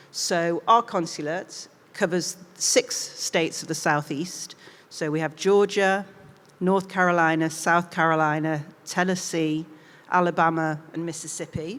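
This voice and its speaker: A woman with a Mancunian accent, fairly low pitch, fairly even intonation, and a fairly slow pace. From northern England, Manchester. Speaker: diplomat. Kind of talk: interview on stage.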